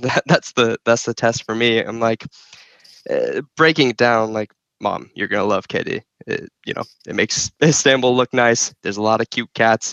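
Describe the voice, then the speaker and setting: A man with an American accent uses a plain, everyday voice at a medium pitch, keeping a moderate pace and fairly even intonation in a dry, close sound with no echo. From US, New Jersey and Phoenix. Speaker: podcast guest. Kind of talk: casual chat.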